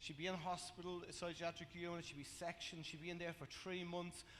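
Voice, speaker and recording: Speaking at a fairly quick pace, a man with a Dublin accent has a high pitch. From Ireland, Dublin (Coolock). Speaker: testimony speaker at church. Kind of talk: testimony. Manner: halting, many fillers.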